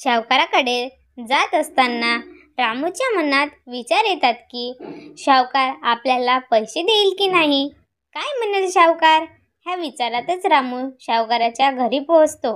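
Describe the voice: A high-pitched woman at a fairly slow pace, with lively intonation and a fairly bright tone.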